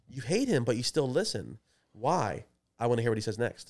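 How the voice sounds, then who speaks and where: A man with an American accent speaks in an ordinary speaking voice at medium pitch and a moderate pace, on a very clean recording with a silent background. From Maryland, Baltimore area. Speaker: podcast co-host. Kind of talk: casual chat.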